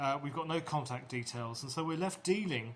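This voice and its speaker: A man's somewhat breathy voice. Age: 60s. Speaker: small business owner. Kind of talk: casual talk to camera. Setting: outdoors.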